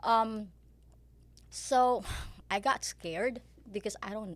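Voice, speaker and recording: A woman with a Filipino accent speaks with vocal fry on a very clean recording over a silent background. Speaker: pharmaceutical sales rep and part-time real estate agent. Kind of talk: podcast interview.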